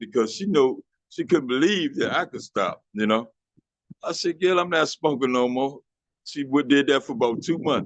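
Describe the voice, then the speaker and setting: An unremarkable speaking voice, this man's is fairly high in pitch, with an American accent and a moderate pace. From Washington, DC. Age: 60s. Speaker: former smoker sharing his story. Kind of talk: testimony. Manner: casual, conversational.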